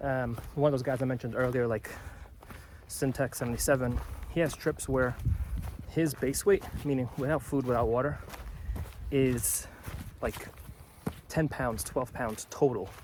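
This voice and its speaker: Amid noticeable background noise, a man of medium pitch speaks at a moderate pace with ordinary pitch variation and long, frequent pauses. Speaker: hiking vlogger. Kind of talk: casual vlog narration. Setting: outdoors. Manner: hesitant with many fillers.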